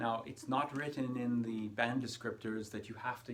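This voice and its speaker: A man with a North American accent talks at a moderate pace in a normal speaking voice. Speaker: English exam tutor. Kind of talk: tutorial.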